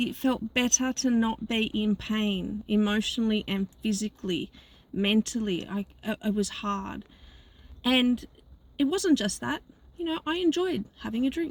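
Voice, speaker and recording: Fairly slowly, a woman speaks at a fairly high pitch with lively intonation. Her voice is somewhat breathy. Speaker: life coach. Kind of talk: casual vlog monologue. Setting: in a car. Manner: halting.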